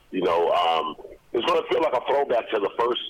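A man rattles off his words very fast, with noticeable noise around him. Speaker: actor. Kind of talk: radio interview.

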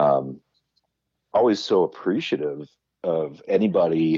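Here a man speaks with an American accent. His pace is very slow. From Southern California (Huntington Beach, Orange County). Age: 50s. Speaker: musician and voice actor. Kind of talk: casual interview chat. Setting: podcast interview. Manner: halting, many fillers and repetitions.

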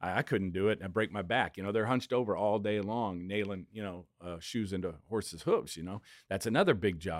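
A man with a plain, everyday voice speaks in a fairly low pitch with ordinary pitch variation and hardly any pauses, on a very clean recording with a silent background. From US Midwest, moved around. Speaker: racetrack announcer. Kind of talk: casual interview.

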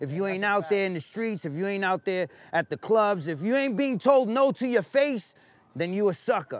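A man's high-pitched voice, fairly quick and with lively intonation. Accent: New York. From New York, Brooklyn (Bushwick). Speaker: guest. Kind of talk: casual chat. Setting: outdoors.

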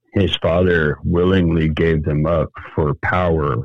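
Fairly even intonation with vocal fry, in an American accent. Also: man. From Sacramento, California. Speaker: podcast co-host. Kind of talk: casual chat.

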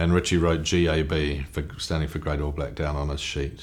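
Speaking at a moderate pace with a New Zealand accent, a man with a very deep, low pitch keeps his intonation fairly even as audible room echo surrounds him. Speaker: author and brand consultant. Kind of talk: interview.

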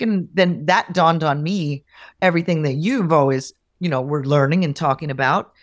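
The background is silent and the recording very clean. The voice belongs to a woman. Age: 50s. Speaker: guest sharing menopause experience. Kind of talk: casual chat. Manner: animated.

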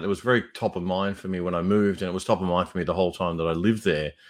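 A man with an Australian accent and a very deep, low pitch speaks at a very fast pace, hardly pausing. The background is quiet. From Brisbane, Australia. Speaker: radio journalist and podcaster. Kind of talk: casual interview.

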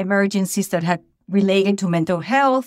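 A woman with a Spanish accent, in a dry, close sound with no echo. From Venezuela. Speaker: mental health counselor. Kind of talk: casual chat.

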